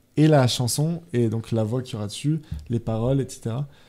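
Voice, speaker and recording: This man talks at a fairly quick pace in a dark, mellow tone. His pitch is medium, with ordinary pitch variation. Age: 20s. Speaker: music producer and composer. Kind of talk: radio interview. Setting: radio studio. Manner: hesitant, many fillers.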